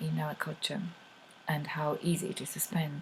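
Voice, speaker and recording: A woman speaks with a Polish accent. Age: adult. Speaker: money coach. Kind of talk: video talk to camera. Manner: halting, many fillers.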